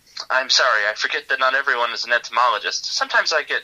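A man talks at a very fast pace in a put-on character voice. His tone is nasal. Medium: read story.

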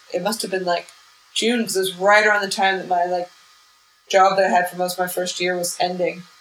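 The speech comes at a very fast pace in a flat monotone. Noticeable background noise runs underneath. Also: woman, medium pitch for a woman. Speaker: comedian. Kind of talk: casual interview chat.

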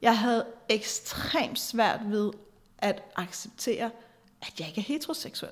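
Here a woman's voice is somewhat breathy and fairly high in pitch. She talks at a very slow pace with long, frequent pauses. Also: ordinary pitch variation. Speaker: podcast host and therapist-style advisor. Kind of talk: solo monologue podcast.

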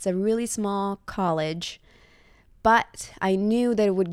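A woman with a slight Italian accent at a fairly slow pace, in a very clean recording with a silent background. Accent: light Italian-accented English. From Italy (Reggio Emilia). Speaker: digital marketer. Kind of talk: casual chat. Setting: at home.

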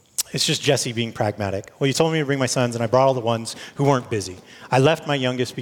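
A natural voice reading aloud, its intonation fairly even

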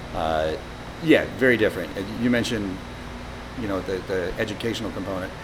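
A man's fairly low, fairly quick voice with ordinary pitch variation, long frequent pauses and noticeable background noise. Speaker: brewery owner and former teacher. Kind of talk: interview answers, casual conversation. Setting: brewery pub.

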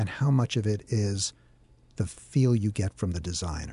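A man's somewhat breathy voice has a dark, mellow tone and ordinary pitch variation at a fairly slow pace. The sound is dry and close with no echo, over a quiet background. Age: 50s. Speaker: radio host. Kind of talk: interview.

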